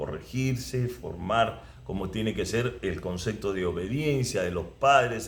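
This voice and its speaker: At a fairly slow pace, a man with a Peruvian accent speaks with lively intonation. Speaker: former footballer. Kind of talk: interview answer.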